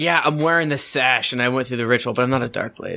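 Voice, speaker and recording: A man's put-on character voice, gruff and raspy at a medium pitch, delivered at a very fast pace. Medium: actual play. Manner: gruff, plain-spoken.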